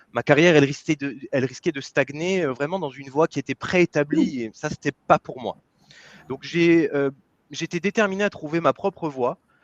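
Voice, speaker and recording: A man speaks at a moderate pace with a fairly high pitch, ordinary pitch variation and big swings in loudness. The sound is dry and close with no echo, over a quiet background. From France. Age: 30s. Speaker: business coach. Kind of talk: interview. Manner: halting, many fillers.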